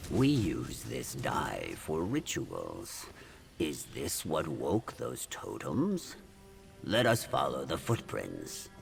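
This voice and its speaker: A man performs a put-on character voice at a very slow pace. Clear music plays in the background. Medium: video game. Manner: formal, no contractions, self-assured.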